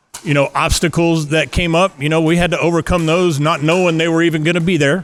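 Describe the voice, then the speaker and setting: A man speaks with a slight West Texas accent. His intonation is monotone and flat. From West Texas (Midland). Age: 50s. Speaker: pickleball facility owner. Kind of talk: interview. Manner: halting, many repeated words.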